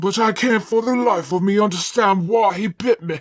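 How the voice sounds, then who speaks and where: Putting on a character voice, a woman growls in a raspy tone at medium pitch and a moderate pace. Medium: read story.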